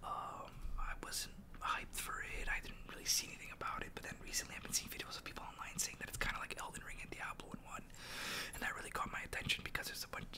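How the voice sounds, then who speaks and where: A man is whispering. He goes at a very fast pace. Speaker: gamer. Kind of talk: casual gaming commentary to camera. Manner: relaxed, conversational.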